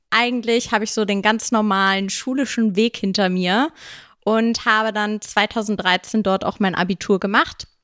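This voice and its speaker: Over a silent background in a very clean recording, a woman uses an ordinary speaking voice at a fairly slow pace, with fairly high pitch and fairly even intonation. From Germany, Bad Honnef near Bonn (raised partly in Munich). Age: 20s. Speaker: bridal shop owner. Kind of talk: casual interview. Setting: hotel.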